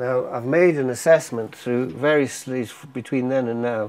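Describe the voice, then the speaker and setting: A man at a medium pitch, with fairly even intonation and a moderate pace. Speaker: architect and lecturer. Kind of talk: lecture. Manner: hesitant, with many fillers.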